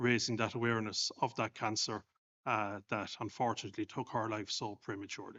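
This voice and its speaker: With an Irish accent, a man speaks at a moderate pace and medium pitch in a monotone, flat intonation. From Ireland. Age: 50s. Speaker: clergyman, bereaved husband. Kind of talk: panel discussion testimony. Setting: stage with audience.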